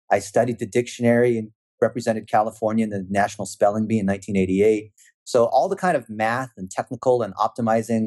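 Very fast delivery with fairly even intonation and a dry, close sound with no echo. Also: man, quiet background. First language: not English. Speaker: marketing expert. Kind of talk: casual interview.

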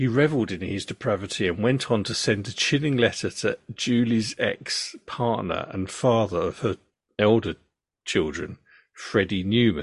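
A man with an ordinary speaking voice, medium pitch, ordinary pitch variation and a moderate pace. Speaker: podcast host and storyteller. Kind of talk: true-crime narration, telling the story to his daughter. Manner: measured, serious and matter-of-fact.

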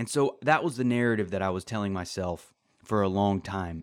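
Over a silent background in a very clean recording, a man talks at a moderate pace. He has a fairly low pitch and an unremarkable speaking voice. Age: 30s. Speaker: podcast host. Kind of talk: solo self-help monologue.

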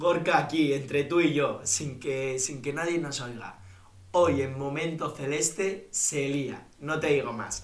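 Over noticeable background noise and audible room echo, a man with a fairly high pitch speaks very slowly with fairly even intonation. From Bilbao, Spain. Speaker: podcast host. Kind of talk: casual chat.

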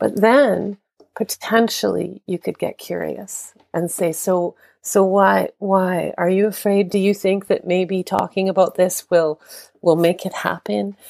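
An ordinary speaking voice with a Canadian accent, fairly even intonation and a fairly slow pace, in a dry, close sound with no echo. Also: woman, medium pitch for a woman. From Canada. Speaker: death care educator. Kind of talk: interview.

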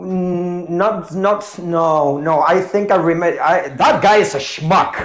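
The voice moves at a very slow pace with hardly any pauses and ordinary pitch variation. Noticeable background noise and audible room echo fill the recording. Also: man, high pitch for a man. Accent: Spanish. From Argentina. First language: Spanish. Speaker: tango dancer. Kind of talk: casual chat. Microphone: earbuds with echo.

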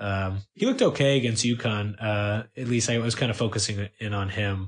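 Over a quiet background, a man with a fairly low, somewhat breathy voice speaks at a moderate pace with fairly even intonation. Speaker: sports writer. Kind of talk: casual sports chat.

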